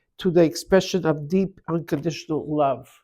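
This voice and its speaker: A dark, mellow voice with a non-native accent at a moderate pace, on a very clean recording with a silent background. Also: woman. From Canada. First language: not English. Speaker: tarot reader. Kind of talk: tarot reading.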